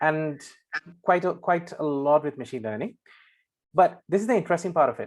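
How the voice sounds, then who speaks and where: A man with a Singaporean accent talks at a fairly quick pace and fairly high pitch, his intonation lively against a quiet background. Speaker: data scientist. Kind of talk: presentation.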